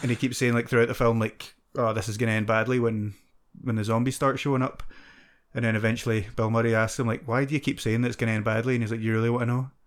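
Over a very clean recording with a silent background, someone with a Scottish accent speaks at a very fast pace in a monotone, flat intonation. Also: man, medium pitch for a man. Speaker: podcast host. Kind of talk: casual chat.

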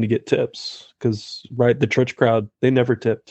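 Speaking at a moderate pace, a man uses a normal speaking voice at medium pitch. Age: 40s. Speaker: artist and shop owner. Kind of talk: interview.

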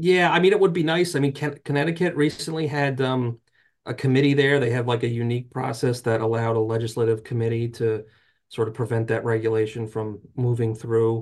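A man with an American accent and a plain, everyday voice, medium pitch, ordinary pitch variation and a fairly quick pace, over a quiet background. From North Jersey, US. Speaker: trade association lobbyist. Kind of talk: interview.

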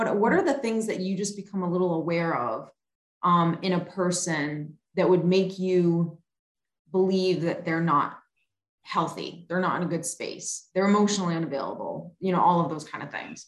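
Here is an ordinary speaking voice at a moderate pace. Its pitch variation is ordinary. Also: woman, fairly low pitch for a woman. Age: 40s. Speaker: podcast host. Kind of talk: casual interview chat.

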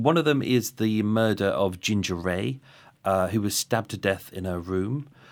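In a very clean recording with a silent background, a man talks. His fairly low voice has lively intonation. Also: moderate pace. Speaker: podcaster and true crime researcher. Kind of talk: casual interview. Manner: hesitant, filler-heavy.

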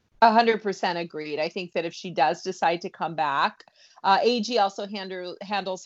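Speaking at a moderate pace in an unremarkable speaking voice, a woman keeps her fairly low pitch fairly even in intonation. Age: 40s. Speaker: entertainment and food journalist. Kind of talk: podcast interview.

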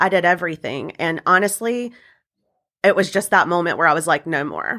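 A woman with an American accent speaks at a fairly quick pace in a fairly low pitch. Her tone is bright and sharp, and the recording is very clean with a silent background. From US South, upstate South Carolina. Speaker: wedding and event business owner. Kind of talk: interview.

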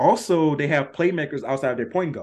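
Over a quiet background, a man talks in an unremarkable speaking voice at a moderate pace with ordinary pitch variation. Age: 30s. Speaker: sports podcast host. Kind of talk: casual sports talk.

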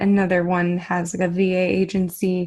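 Her pitch is in the middle range for a woman. The background is silent and the recording very clean. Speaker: podcast host. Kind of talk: casual interview. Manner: enthusiastic.

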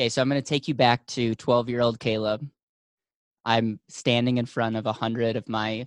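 A man at a moderate pace, monotone and flat in intonation, against a quiet background. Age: 20s. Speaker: financial company founder. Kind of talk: interview.

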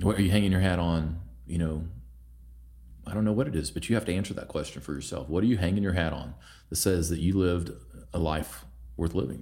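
A man with an American accent speaks at a very deep, low pitch, with vocal fry, a dark, mellow tone and ordinary pitch variation. His pace is very fast but broken by long, frequent pauses, with audible room echo. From Oklahoma. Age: 40s. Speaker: leadership coach. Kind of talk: casual interview.

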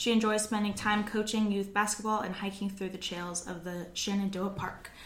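A woman in an American accent speaks at medium pitch and a moderate pace. Her intonation is monotone and flat, with noticeable background noise behind her. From US South, Virginia (Radford). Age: 20s. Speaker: podcast host and real estate agent. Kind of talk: casual chat. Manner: talkative.

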